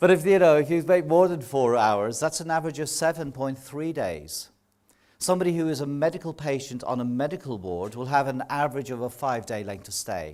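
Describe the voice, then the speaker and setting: Speaking at a fairly quick pace with an Irish accent, a man uses a fairly high pitch and lively intonation. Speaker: nursing professor. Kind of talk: public lecture.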